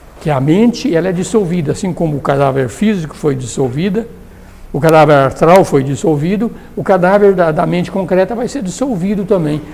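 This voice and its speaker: Fairly quick, lively speech from a man with a high pitch, plus audible room echo and noticeable background noise. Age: 60s. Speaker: theosophy lecturer. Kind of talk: lecture. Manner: casual.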